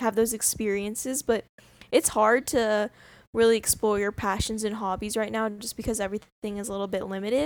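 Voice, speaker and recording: A woman with an unremarkable speaking voice talks at a fairly high pitch and a fairly quick pace. Her intonation is fairly even, on a very clean recording with a silent background. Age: 20s. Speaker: student podcast co-host. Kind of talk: casual chat.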